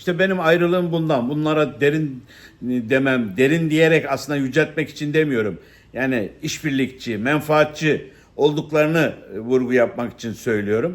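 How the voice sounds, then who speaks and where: This man's voice sits fairly high, and its pitch variation is ordinary. His pace is moderate. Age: 60s. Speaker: political commentator, former politician. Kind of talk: monologue commentary. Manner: halting, many fillers.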